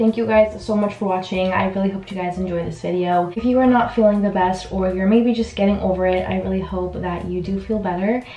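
A woman speaks with fairly even intonation in a room with audible echo. Faint music plays in the background. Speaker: lifestyle vlogger. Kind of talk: casual vlog chat.

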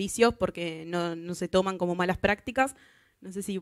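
A woman is speaking. The background is quiet. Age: 20s. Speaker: software tester; conference speaker. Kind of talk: conference talk. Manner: halting, many fillers. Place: hall. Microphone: handheld.

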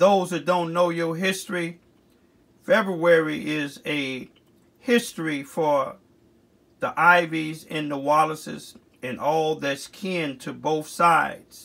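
A man with an American accent speaks at a very slow pace. His pitch is fairly high, with ordinary pitch variation. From US Midwest, Chicago. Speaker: community activist video blogger. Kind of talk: heartfelt spoken birthday eulogy tribute to a late grandmother. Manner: earnest, reverent, loving tone with closing blessings; halting, with frequent 'uh' fillers and restarts.

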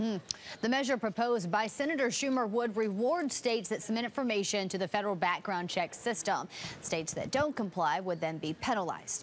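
A woman's ordinary speaking voice, fairly high in pitch, with lively intonation, very even loudness, a fairly quick pace, and light background noise. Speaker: TV news reporter. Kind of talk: TV news report. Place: studio. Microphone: lapel.

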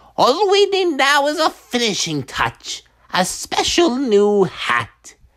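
Putting on a character voice, a man goes extremely high in pitch, swinging very widely up and down at a fairly slow pace. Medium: voice reel. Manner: gleeful, taunting.

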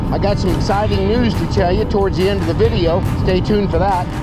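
Over loud music in the background, a man talks at a very fast pace. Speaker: e-bike vlogger. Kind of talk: casual vlog chat. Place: bicycle. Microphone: phone near.

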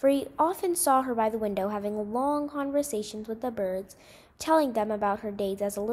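Text read aloud in a plain way

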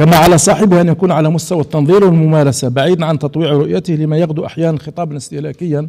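A man talks at a fairly quick pace in a fairly high voice with a dark, mellow tone. His pitch varies in an ordinary way, and the background is quiet. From Algeria. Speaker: writer and journalist, lecturer; lecturer, journalist. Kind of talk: audience Q&A; lecture. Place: hall. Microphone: podium.

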